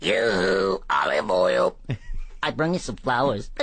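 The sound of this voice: Using a put-on character voice, a man speaks at a fairly slow pace over light background noise.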